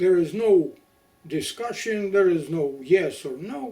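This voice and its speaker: A man with a Ukrainian accent, high in pitch, at a fairly slow pace, with ordinary pitch variation. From Ukraine. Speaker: Holodomor survivor. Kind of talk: testimony. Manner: halting.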